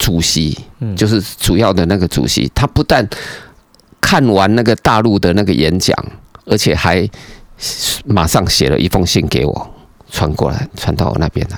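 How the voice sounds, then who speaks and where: A man with a very deep, low voice uses lively intonation and leaves long, frequent pauses. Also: moderate pace. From Taiwan. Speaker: environmental engineering professor. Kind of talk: casual interview chat. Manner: animated.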